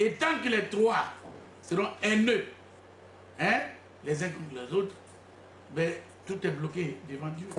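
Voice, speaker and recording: Over noticeable background noise and audible room echo, a man with a high pitch and lively intonation speaks at a fairly slow pace. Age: 60s. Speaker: self-proclaimed spiritual leader. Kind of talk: press conference. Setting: press conference with journalists.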